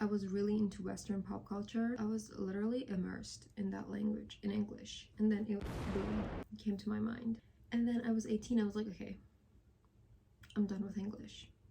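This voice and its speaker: A woman talks at a fairly quick pace yet pauses long and often, with noticeable background noise. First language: Persian. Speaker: language-learning vlogger. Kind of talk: casual vlog monologue. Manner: animated.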